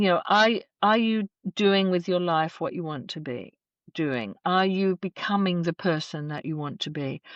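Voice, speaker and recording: This woman has an Australian accent and a fairly low pitch with ordinary pitch variation, speaking at a moderate pace. The sound is dry and close with no echo over a quiet background. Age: 60s. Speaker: death care educator and celebrant. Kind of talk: podcast interview. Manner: reflective, measured.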